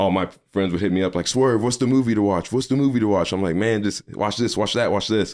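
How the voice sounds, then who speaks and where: A man with an American accent talks at a fairly quick pace and a fairly low pitch, with ordinary pitch variation. The recording is very clean, with a silent background. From Missouri, Farmington. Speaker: podcaster and movie critic. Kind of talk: casual interview. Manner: loud.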